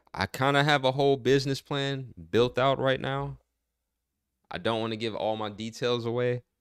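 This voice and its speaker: A man speaks in a plain, everyday voice with medium pitch and fairly even intonation, in an American accent at a moderate pace. The recording is very clean, with a silent background. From Michigan, US Midwest. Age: 30s. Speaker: livestreamer. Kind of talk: casual livestream chat.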